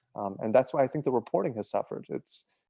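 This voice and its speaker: Over music in the background, a man talks at a very fast pace with a dry, close sound that has no echo. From Bosnia, then Utica, New York. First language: Serbian/Bosnian. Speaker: sports journalist and podcast co-host. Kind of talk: interview. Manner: hesitant, many fillers and repeats.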